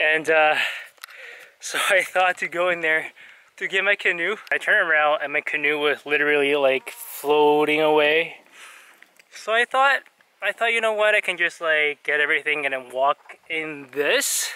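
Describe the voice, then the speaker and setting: A man talks at a moderate pace in a bright, sharp tone, the sound dry with no echo. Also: ordinary pitch variation. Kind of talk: casual vlog chat. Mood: rueful, amused, a bit shaken. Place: waterside. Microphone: phone near.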